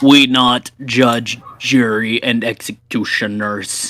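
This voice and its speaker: A man puts on a character voice at medium pitch. He talks at a very slow pace. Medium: actual play. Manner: broken, terse speech.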